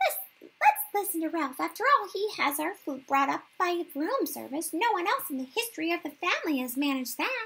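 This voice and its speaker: Speaking at a moderate pace, a woman uses a put-on character voice pitched extremely high. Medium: read story.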